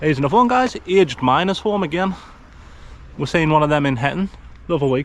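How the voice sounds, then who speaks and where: Lively intonation and a very fast pace mark a man's speech, with noticeable background noise behind it. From north-east England, Sunderland area. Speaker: travel vlogger. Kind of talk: casual vlog narration to camera. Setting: outdoors, walking streets.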